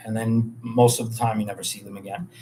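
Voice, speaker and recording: With a New York accent, a man talks at a medium pitch. Noticeable background noise is present. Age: 40s. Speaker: bartender and hotel worker. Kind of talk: livestream monologue. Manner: casual, rambling with fillers.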